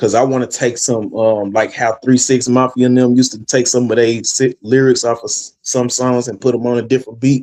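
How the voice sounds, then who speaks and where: A man's medium-pitched, dark and mellow voice in a flat monotone at a fairly quick pace. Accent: Southern US. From West Tennessee (Jackson). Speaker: rapper, radio founder. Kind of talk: casual chat.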